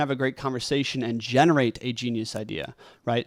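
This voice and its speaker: A man is heard in a dry, close sound with no echo. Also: very clean recording, silent background. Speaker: podcast host and community entrepreneur. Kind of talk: monologue lecture to camera. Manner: shaky; casual, filler-heavy.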